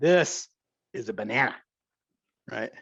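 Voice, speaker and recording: A man speaks at a fairly slow pace. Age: 60s. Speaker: professor. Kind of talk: cooking demonstration. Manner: casual, chatty.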